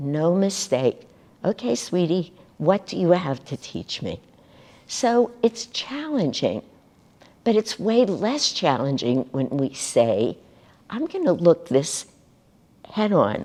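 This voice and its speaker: A woman's fairly low, dark and mellow voice with vocal fry and very wide pitch swings, at a very slow pace broken by long, frequent pauses. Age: 70s. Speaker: spiritual teacher. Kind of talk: spiritual talk.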